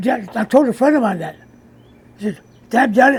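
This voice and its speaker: A man with an extremely high pitch. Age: 80s+. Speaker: racing pigeon fancier, former bull rider. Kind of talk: interview answer. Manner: terse.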